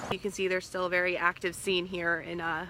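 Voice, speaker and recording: An unremarkable speaking voice from a woman with an American accent, medium in pitch and at a fairly quick pace. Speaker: multimedia journalist / TV reporter. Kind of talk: TV news reporter reel, on-air reporting and live shots. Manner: clear, polished broadcast delivery.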